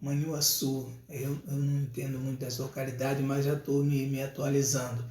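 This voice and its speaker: There is audible room echo around a man with a fairly high pitch. His tone is dark, mellow and somewhat breathy. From Rio de Janeiro, Brazil. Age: 60s. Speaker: evangelist preacher. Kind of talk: casual live stream talk with church announcements. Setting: live stream.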